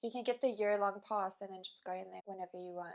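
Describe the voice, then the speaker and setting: A South African accent with ordinary pitch variation. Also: woman. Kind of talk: interview answer.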